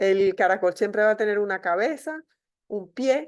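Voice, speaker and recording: A woman speaks at a fairly slow pace in an unremarkable speaking voice, medium in pitch with lively intonation, against a quiet background. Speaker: medical school professor. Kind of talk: online lecture.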